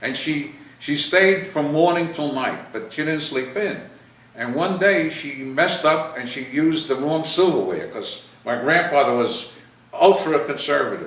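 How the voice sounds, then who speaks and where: With a New York accent, a man speaks at a moderate pace at a fairly high pitch with ordinary pitch variation, amid audible room echo and noticeable background noise. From US Northeast, New York City (Bronx). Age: 80s+. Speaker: WWII veteran interviewed about family history. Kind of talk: casual family interview. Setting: home video interview on camera. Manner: halting.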